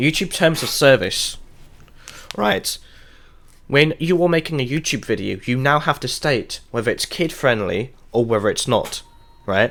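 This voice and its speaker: A man mumbles in a British accent at a medium pitch and a fairly slow pace, with lively intonation and long, frequent pauses. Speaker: gaming streamer. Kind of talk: casual live stream rant. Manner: mumbling; halting.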